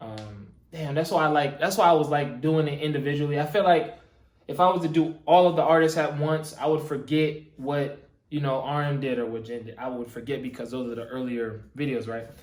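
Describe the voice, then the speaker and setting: A fairly high-pitched man's voice with audible room echo. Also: ordinary pitch variation, fairly quick pace, big swings in loudness. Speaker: YouTube reaction video creator. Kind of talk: casual reaction commentary. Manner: casual, filler-heavy.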